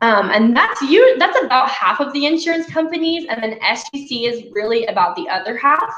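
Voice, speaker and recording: Over noticeable background noise and audible room echo, a woman speaks at a moderate pace with lively intonation. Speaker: glass repair trainer. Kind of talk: live webinar Q&A.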